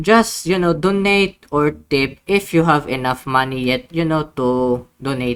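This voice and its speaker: Fairly slow pace with hardly any pauses. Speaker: gaming YouTuber. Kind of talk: casual vlog update. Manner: halting, many fillers and restarts.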